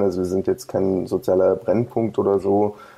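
A man speaks at a moderate pace. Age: 30s. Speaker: American football club coach. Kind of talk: interview. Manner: halting, many fillers.

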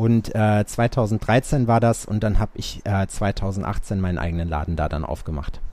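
With hardly any pauses, a man with a fairly low pitch and dark, mellow tone talks at a fairly slow pace with ordinary pitch variation. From Sauerland, western Germany. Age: 30s. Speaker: tattoo artist. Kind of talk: casual interview chat.

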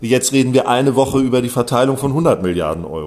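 A man talks rather briskly with normal pitch movement while clear background noise fills in behind him. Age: 40s. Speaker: journalist. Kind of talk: interview.

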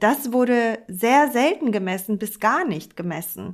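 A woman talks at a very slow pace. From Hamburg, Germany. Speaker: architect and charity director. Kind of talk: conversational podcast discussion.

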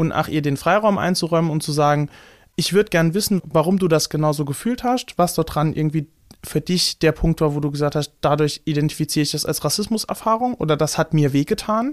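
Recorded very cleanly with a silent background and a dry, close sound with no echo, a man with a strong Saarland accent speaks at a fairly quick pace in a fairly high pitch. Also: ordinary pitch variation. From Saarland, Germany. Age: 20s. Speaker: musician and activist. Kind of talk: interview. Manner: halting, many fillers.

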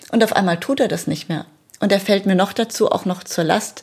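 A woman talks at a fairly quick pace in a somewhat breathy voice. Her pitch is medium, with ordinary variation. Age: 40s. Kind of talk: personal testimony.

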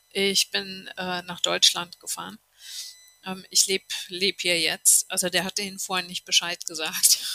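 A woman's medium-pitched, monotone, flat delivery at a fairly slow pace, with a dry, close sound and no echo. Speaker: TV journalist and podcaster. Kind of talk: interview.

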